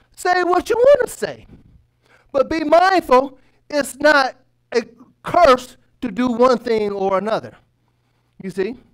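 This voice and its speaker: Over a quiet background, a man with an extremely high pitch and very wide pitch swings speaks at a fairly slow pace, with long, frequent pauses. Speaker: workshop moderator. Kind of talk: religious workshop lecture. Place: classroom. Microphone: headset.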